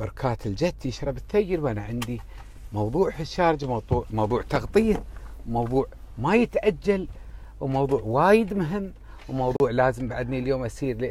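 The speech moves at a moderate pace. Light background noise is present, and the sound is dry with no echo. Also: man. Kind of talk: casual vlog chat. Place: car. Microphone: earbuds.

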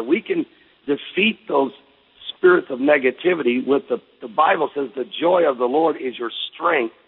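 Moderate pace, lively intonation and a plain, everyday voice from a man. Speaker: pastor. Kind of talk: radio guest interview answer. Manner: upbeat, encouraging.

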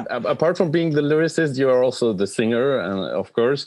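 The background stays quiet. A man talks with lively intonation. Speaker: podcast host. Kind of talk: interview. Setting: video call. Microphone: video call.

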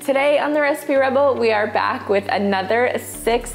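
A woman speaks at a fairly slow pace while faint music plays in the background. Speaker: cooking show host. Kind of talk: tutorial. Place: kitchen. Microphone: lapel.

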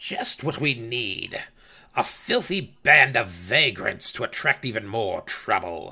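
A man's medium-pitched voice at a fairly slow pace. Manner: contemptuous, scornful.

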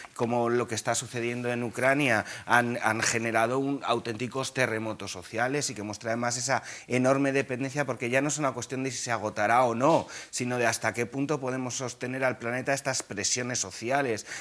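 A man's fairly quick speech in a monotone, flat intonation. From rural Spain. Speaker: climate activist; guest. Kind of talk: panel discussion. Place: studio. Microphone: lapel.

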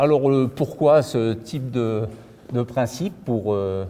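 The man's tone is dark and mellow. His pitch variation is ordinary. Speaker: museum guide. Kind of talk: guided tour explanation. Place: hall. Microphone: lapel.

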